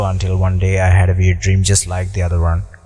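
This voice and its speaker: A man with a very deep, low voice talks while music plays behind him. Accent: Sri Lankan. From Sri Lanka. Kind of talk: horror story narration. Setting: home recording, small electret mic.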